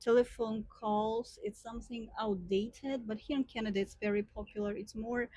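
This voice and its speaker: Somewhat breathy and with a dark, mellow tone, a woman speaks in a fairly high pitch with monotone, flat intonation, big swings in loudness and hardly any pauses. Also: moderate pace. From Ukraine. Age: young. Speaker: vlogger. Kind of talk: casual vlog talk. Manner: hesitant, many fillers.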